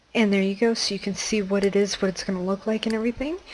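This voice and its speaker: Background noise is noticeable here. A woman talks with fairly even intonation. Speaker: gaming tutorial creator. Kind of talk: tutorial. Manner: casual, conversational.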